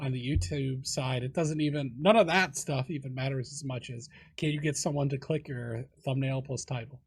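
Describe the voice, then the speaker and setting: This man's voice is somewhat breathy. He talks at a moderate speed, his pitch varying in an ordinary way. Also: fairly high pitch for a man. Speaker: podcast host and youtuber. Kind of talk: casual chat.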